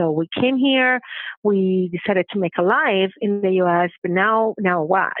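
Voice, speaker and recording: Speaking with a strong Venezuelan accent, a woman keeps a moderate pace. Her medium pitch shows ordinary pitch variation. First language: Spanish. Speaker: banking diversity leader. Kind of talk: podcast interview. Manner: halting, many fillers.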